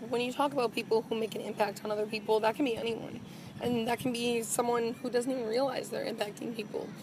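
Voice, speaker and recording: Fairly high in pitch, a woman talks at a fairly quick pace with fairly even intonation over noticeable background noise. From Wisconsin, Green Bay. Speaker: TV news anchor and reporter. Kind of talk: interview.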